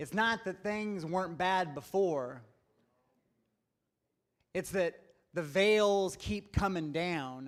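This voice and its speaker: The recording is very clean, with a silent background. A man speaks at a very slow pace with ordinary pitch variation. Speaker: guest preacher, social justice speaker. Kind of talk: sermon. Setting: congregation, live audience. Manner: storytelling, humorous.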